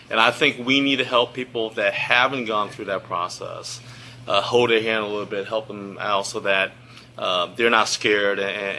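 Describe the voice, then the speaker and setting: Noticeable background noise accompanies a man speaking at a fairly low pitch with fairly even intonation. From grew up in Lynchburg, Virginia (US South), immigrant child. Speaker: government executive, presenter. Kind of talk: presentation. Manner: conversational, many fillers and restarts.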